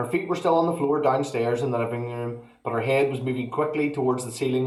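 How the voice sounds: The intonation is fairly even. It is a natural reading voice.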